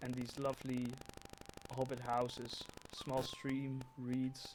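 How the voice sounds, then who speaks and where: A man with a Dutch accent at a very slow pace and a medium pitch, monotone and flat, over noticeable background noise. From Netherlands. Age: 20s. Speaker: gaming streamer. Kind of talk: live gameplay stream. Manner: halting.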